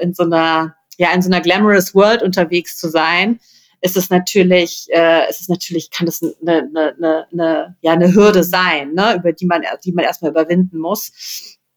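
Fairly low-pitched woman's voice with monotone, flat intonation. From Rhineland, Germany. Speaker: PR consultant and coach. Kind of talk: interview conversation. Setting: in person, sitting face to face.

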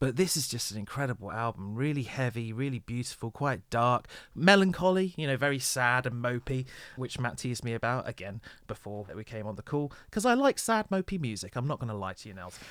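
On a very clean recording with a silent background, a man with an unremarkable speaking voice talks at medium pitch and a fairly quick pace. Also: lively intonation. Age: 30s. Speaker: podcast host. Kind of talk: casual chat.

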